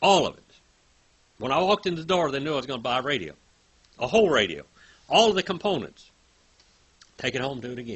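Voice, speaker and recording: A man with a fairly high voice talks at a very fast pace, broken by long, frequent pauses. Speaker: Bible teacher. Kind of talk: lecture; casual storytelling. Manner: halting; animated.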